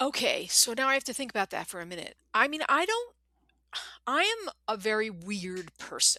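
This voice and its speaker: Projecting a raised voice at a moderate pace, a woman speaks at a high pitch with very wide pitch swings, an animated tone and a bright, sharp sound. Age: 60s. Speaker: novelist. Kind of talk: interview conversation.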